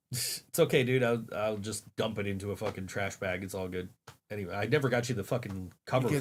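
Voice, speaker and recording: A raspy, put-on character voice from a man, fairly low in pitch and at a fairly quick pace. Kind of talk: casual, profane. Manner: casual, relaxed.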